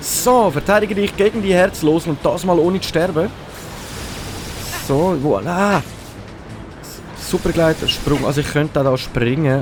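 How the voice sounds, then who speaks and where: With music in the background, a man with a high voice speaks at a fairly slow pace with ordinary pitch variation and long, frequent pauses. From Switzerland. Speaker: let's play gamer. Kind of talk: casual gameplay commentary.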